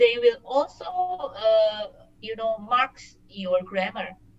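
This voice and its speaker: In a Singaporean accent, a woman with a fairly high pitch talks at a fairly slow pace with ordinary pitch variation. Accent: sounds Singaporean. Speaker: working professional studying abroad. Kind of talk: casual interview. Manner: hesitant, many fillers.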